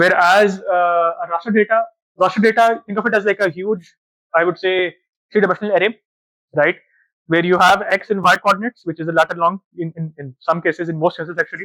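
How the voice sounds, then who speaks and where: Very fast and in a raised, projected voice, a man with a Pakistani accent speaks at a high pitch with a bright, sharp tone and fairly even intonation, the sound dry and close with no echo. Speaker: data analytics manager. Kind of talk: conference talk. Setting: stage with audience.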